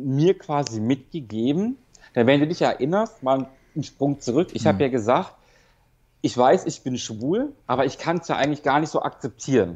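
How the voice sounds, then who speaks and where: This man talks at a moderate pace in a medium-pitched voice with lively intonation. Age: 30s. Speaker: rehab patient recovering from drug addiction. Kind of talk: personal testimony in phone interview. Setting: phone call from rehab clinic. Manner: halting, many fillers.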